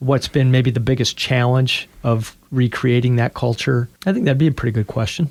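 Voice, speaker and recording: A man's medium-pitched voice with an American accent. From US Midwest, Chicago area, Illinois. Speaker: high school athletic director and radio co-host. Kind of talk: casual chat.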